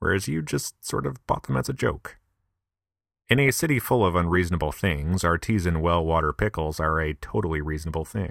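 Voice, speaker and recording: In a very clean recording with a silent background and a dry, close sound with no echo, a man with an upstate New York accent speaks at a very deep, low pitch and a fairly quick pace with lively intonation. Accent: upstate pronunciation of milk. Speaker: podcaster. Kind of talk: comedic monologue.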